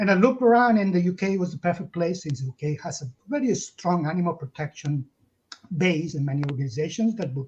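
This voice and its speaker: With a Catalan accent, a man speaks at a fairly quick pace. His pitch is high, and his intonation is lively. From Catalonia, Spain. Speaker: zoologist and animal protection campaigner. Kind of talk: interview. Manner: halting.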